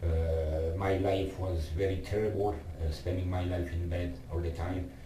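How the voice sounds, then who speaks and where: This man speaks at a very deep, low pitch with monotone, flat intonation and a fairly slow pace. Noticeable background noise is present. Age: 50s. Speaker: lung cancer patient. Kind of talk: casual talk to camera.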